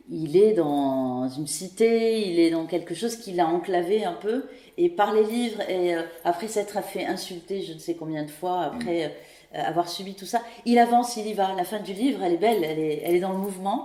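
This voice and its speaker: A woman talks with ordinary pitch variation and big swings in loudness. Noticeable background noise is present. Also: medium pitch for a woman, moderate pace. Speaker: podcast host. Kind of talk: interview questions.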